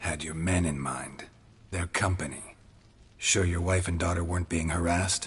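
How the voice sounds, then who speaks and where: Put-on character voice from a man, moderately paced, with a very deep, low pitch. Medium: video game. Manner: terse, flat, gravelly.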